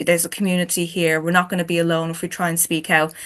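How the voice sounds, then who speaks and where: With an Irish accent, a woman of fairly low pitch speaks in a bright, sharp tone and monotone, flat intonation over a quiet background. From Ireland. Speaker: chapter author on a book panel. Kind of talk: panel discussion.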